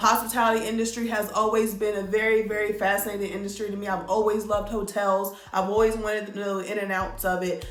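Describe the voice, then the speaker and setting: Speaking at a very fast pace, a woman with a fairly high pitch is heard amid noticeable background noise and audible room echo. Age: 20s. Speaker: vlogger, former bartender. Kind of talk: casual storytime monologue. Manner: conversational, filler-heavy.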